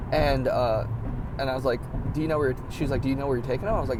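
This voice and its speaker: A man talks at a medium pitch. Room echo and noticeable background noise can be heard. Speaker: vlogger and delivery driver. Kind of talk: casual vlog storytelling. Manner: fast; animated.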